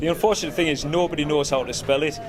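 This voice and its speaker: Noticeable background noise sits behind this man's fairly quick delivery. He speaks in a Cumbrian accent at a fairly high pitch. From Cumbria, northern England. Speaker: rock band musician. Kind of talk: casual interview. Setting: music festival. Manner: hesitant, many fillers.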